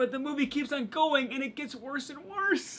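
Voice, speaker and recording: A man's animated voice. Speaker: film reviewer. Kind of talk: movie review monologue. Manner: fast.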